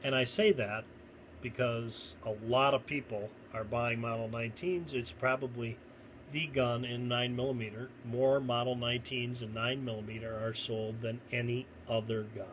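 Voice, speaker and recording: A man at medium pitch and moderate pace, an ordinary speaking voice with fairly even intonation. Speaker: gun reviewer. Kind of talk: product comparison video. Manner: casual, conversational.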